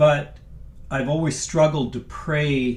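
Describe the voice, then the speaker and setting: Somewhat breathy speech at a very slow pace, with ordinary pitch variation. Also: man. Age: 60s. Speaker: sacred music composer and singer. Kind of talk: casual chat. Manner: halting.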